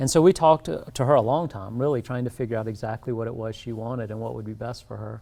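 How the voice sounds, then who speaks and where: A man speaks at a fairly quick pace and a medium pitch. His tone is dark and mellow. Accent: South Carolina. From US South, South Carolina low country. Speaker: dentist. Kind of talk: interview. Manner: calm, low-key.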